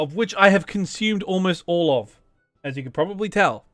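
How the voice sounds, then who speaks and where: With music in the background, a man with a high voice talks at a fairly quick pace. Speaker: gaming youtuber. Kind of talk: casual let's play commentary.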